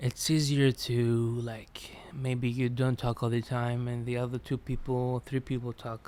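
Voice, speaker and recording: A man's dark, mellow voice at medium pitch, with a Greek accent, monotone, flat intonation and hardly any pauses. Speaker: podcast host. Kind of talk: solo podcast monologue. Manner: relaxed; halting, repetitive.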